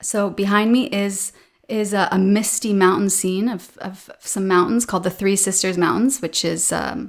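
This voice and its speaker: A woman with a Canadian accent has an ordinary speaking voice at a medium pitch, with fairly even intonation and a moderate pace. The recording is very clean, with a silent background. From western Canada, Alberta. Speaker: podcast host, English teacher. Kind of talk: casual chat.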